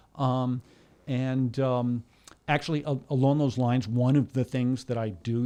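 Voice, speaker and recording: Speaking in an American accent, a man's voice carries a dark, mellow tone. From Connecticut, US. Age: 60s. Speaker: bassist. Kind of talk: interview. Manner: halting, repeats words.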